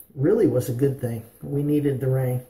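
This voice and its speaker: A somewhat breathy voice with audible room echo. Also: man. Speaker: shaving vlogger. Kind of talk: casual vlog chat. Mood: relaxed, friendly. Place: bathroom. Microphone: phone near.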